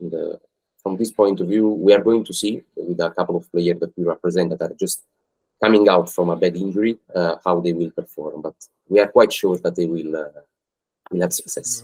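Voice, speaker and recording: A man with an Italian accent, very deep and low in pitch, dark and mellow in tone, fairly even in intonation, at a fairly quick pace, with a dry, close sound and no echo. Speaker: football agent. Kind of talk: podcast interview. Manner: halting.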